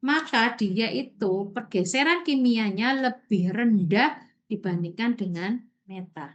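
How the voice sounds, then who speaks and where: A woman speaks loudly at a very slow pace. The background is quiet. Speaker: university lecturer. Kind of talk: online lecture. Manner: slow, deliberate explaining.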